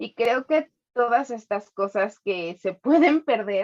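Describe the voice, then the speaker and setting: In a dry, close sound with no echo, a woman speaks at a high pitch with very wide pitch swings. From Mexico, Tapachula (Chiapas). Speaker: podcast co-host. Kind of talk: casual chat.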